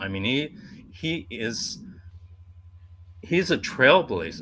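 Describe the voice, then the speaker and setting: Vocal fry marks a man's medium-pitched voice, which has a bright, sharp tone. He speaks at a very slow pace with very wide pitch swings. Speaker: podcast host. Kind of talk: podcast conversation.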